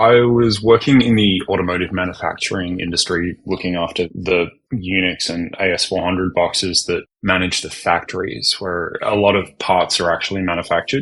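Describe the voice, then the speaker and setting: An Australian-accented man, very deep and low in pitch, at a moderate pace with fairly even intonation. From Australia, Melbourne. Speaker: cloud architect. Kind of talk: podcast interview.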